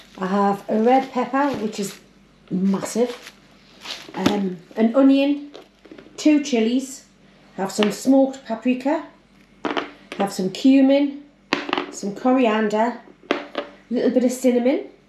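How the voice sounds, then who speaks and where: A woman's high-pitched voice at a fairly slow pace, with long, frequent pauses and noticeable background noise. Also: ordinary pitch variation. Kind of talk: casual cooking tutorial. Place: kitchen. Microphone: phone near.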